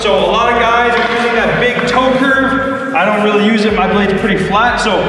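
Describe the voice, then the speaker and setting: Raised and projected, the voice moves at a moderate pace with fairly even intonation, amid strong room echo and noticeable background noise. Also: man. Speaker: hockey coach. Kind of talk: tutorial. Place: hall.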